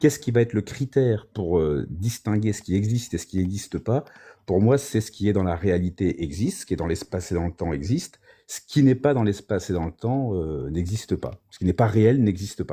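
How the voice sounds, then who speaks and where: A man's somewhat breathy, fairly low voice with a dark, mellow tone, lively intonation, a fairly quick pace and big swings in loudness, on a very clean recording with a silent background. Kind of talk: philosophical discussion on a livestream. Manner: hesitant, many fillers.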